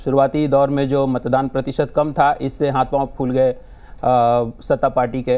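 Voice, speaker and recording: A man talks at a medium pitch. His tone is dark and mellow. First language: Maithili (speaking Hindi). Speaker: political panelist. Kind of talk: TV panel discussion. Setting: TV studio.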